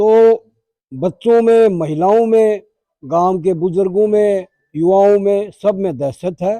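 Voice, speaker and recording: Recorded dry and close with no echo, the voice has a dark, mellow tone and ordinary pitch variation. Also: man, high pitch for a man. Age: 70s. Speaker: village elder. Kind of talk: street interview. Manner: halting.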